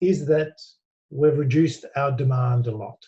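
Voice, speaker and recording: Somewhat breathy and dark, mellow in tone, this voice with an Australian accent moves at a fairly slow pace with fairly even intonation. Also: man. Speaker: business executive. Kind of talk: interview.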